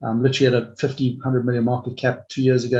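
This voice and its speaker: A man talks at a medium pitch with a somewhat breathy voice against a quiet background. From Africa. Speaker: mining company executive. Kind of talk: investor webinar Q&A. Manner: hesitant, many fillers and repeats.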